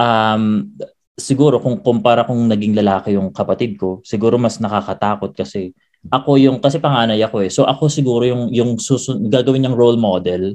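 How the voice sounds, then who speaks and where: This man has an ordinary speaking voice at medium pitch. He talks at a fairly quick pace, with ordinary pitch variation. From Philippines, Quezon City. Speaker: podcast host and pageant titleholder. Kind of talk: casual chat.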